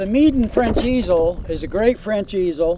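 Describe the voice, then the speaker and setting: Noticeable background noise sits behind a man's voice. He talks at a fairly slow pace with lively intonation. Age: 60s. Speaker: outdoors YouTuber and painter. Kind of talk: product review. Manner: casual, many fillers.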